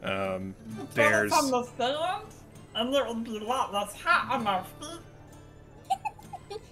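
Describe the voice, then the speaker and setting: A female-sounding, put-on character voice speaks at a very slow pace and a fairly high pitch. Clear music plays in the background. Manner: blunt, dry.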